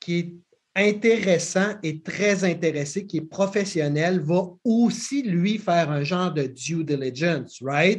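Against a quiet background, a man with a Quebec accent speaks at a very slow pace and a high pitch. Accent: Québécois French. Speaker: podcast host. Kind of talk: casual interview.

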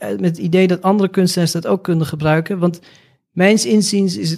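Pitched high, this man's voice rises and falls with ordinary variation. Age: 40s. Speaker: artist. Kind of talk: interview.

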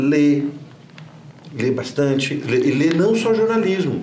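A man with a fairly high voice and ordinary pitch variation is heard through audible room echo and noticeable background noise. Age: 50s. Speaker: journalist and professor. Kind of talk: interview. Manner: halting, repeats words.

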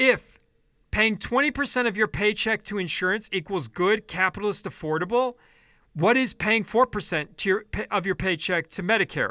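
A man with an American accent speaks in a raised, projected voice, high-pitched for a man, with a bright, sharp tone, a moderate pace and ordinary pitch variation, on a very clean recording with a dry, close sound, no echo and a silent background. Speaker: political podcast host. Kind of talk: angry political rant, profanity-laden solo monologue. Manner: furious and exasperated, swearing heavily; frequent filler ums, stumbling restarts.

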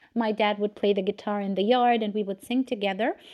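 Ordinary pitch variation in a woman's fairly high voice. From Romania. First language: Romanian. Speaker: public speaking and voice coach. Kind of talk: live interview. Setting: online audio room.

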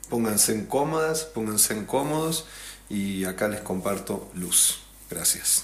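Audible room echo surrounds a man with a fairly low pitch who speaks at a fairly slow pace with ordinary pitch variation. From Traslasierra valley, Córdoba, Argentina. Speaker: musician. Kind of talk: casual chat. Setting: host's rural house.

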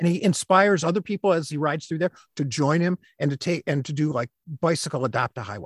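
Very fast and fairly high for a man, this voice with an American accent has ordinary pitch variation and a dry, close sound with no echo. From Michigan, Flint. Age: 60s. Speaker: stay-at-home dad, author and science teacher. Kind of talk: casual interview.

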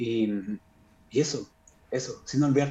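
A man speaks with a dark, mellow tone. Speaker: classical guitarist. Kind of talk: casual interview. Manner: halting, many repetitions.

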